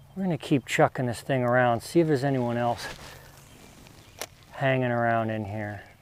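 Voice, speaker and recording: With long, frequent pauses, a man talks at a moderate pace in a medium pitch with ordinary pitch variation, over noticeable background noise. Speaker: fishing video host. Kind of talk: outdoor fishing tutorial vlog. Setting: outdoors by a river. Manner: quiet, not boisterous.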